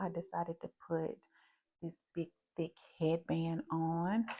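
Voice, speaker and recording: Speaking in a Southern US accent, a woman uses a fairly low, dark, mellow voice at a fairly slow pace. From US South. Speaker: beauty vlogger. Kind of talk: makeup tutorial with casual chat. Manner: casual, chatty.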